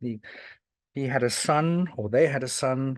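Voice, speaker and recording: A man with a medium pitch holds fairly even intonation and a moderate pace. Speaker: historian giving a talk. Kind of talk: lecture. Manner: halting, many fillers and restarts.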